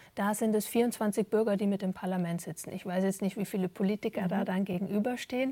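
A woman speaks at a medium pitch in a somewhat breathy voice. Her intonation stays fairly even. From Germany. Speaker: stage actor and dramaturge. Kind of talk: interview. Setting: theatre. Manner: halting, many fillers.

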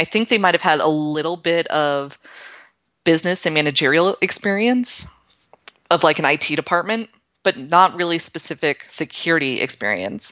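A woman with a plain, everyday voice speaks at a fairly quick pace with an American accent. Her pitch is fairly low and her intonation lively. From Florida, Tampa Bay area. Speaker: information security consultant. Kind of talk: casual interview.

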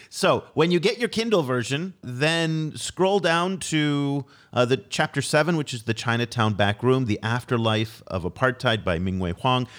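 On a very clean recording with a silent background, a man in a normal speaking voice talks at a moderate pace with lively intonation. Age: 50s. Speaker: podcast host. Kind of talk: interview.

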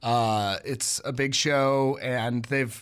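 This is a man speaking at a medium pitch. The recording is very clean, with a silent background. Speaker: music journalist. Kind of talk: radio interview. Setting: radio studio. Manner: energetic.

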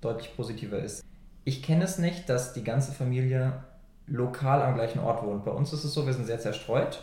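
A man's medium-pitched, somewhat breathy voice, dark and mellow in tone, with ordinary pitch variation and audible room echo. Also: moderate pace. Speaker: podcast co-host. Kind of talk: casual chat.

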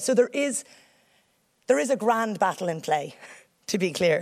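Someone speaks at a fairly quick pace in an Irish accent with lively intonation, on a very clean recording with a silent background. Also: woman. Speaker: senator. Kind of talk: public speech.

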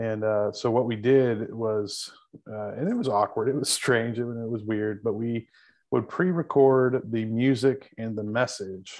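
A man with an American accent has a normal speaking voice at a medium pitch. He speaks at a fairly slow pace with fairly even intonation. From Texas Panhandle. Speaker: campus pastor. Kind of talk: interview conversation.

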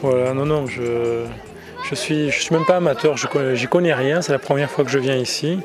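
A man talks at a moderate pace with a fairly high pitch and ordinary pitch variation. Crowd noise sits in the background, and the room has an audible echo. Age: 40s. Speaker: event visitor. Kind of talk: vox pop interview.

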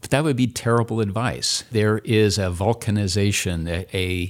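At a moderate pace, a man with an unremarkable speaking voice talks in a fairly low pitch with ordinary pitch variation, in a very clean recording with a silent background. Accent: American. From Indianapolis, Indiana. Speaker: retired drug industry scientist and academic. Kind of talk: interview.

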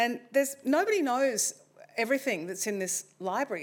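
A woman speaks with an Australian accent and lively intonation. The recording is very clean, with a silent background. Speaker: non-fiction writer and former journalist. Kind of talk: talk to a live audience. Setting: library event with audience. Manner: hesitant, many ums and uhs.

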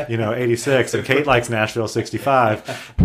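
Talking at a fairly quick pace, a man with an American accent has a normal speaking voice, medium in pitch with fairly even intonation. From Arkansas, US South. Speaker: lawyer and startup executive. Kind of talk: casual interview.

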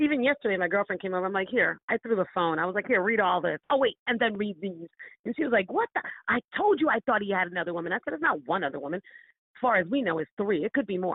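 A woman with an American accent talks at a very fast pace in an animated tone with lively intonation. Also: medium pitch for a woman. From Florida. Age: 50s. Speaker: dating story guest. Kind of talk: casual chat.

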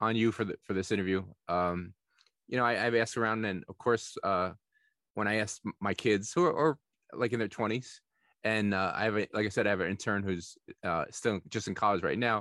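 With a New Jersey accent, a man talks at a fairly quick pace in a fairly low, bright, sharp voice, the sound dry and close with no echo over a quiet background. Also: ordinary pitch variation. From Nutley, New Jersey, US. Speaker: podcast host. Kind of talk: casual interview.

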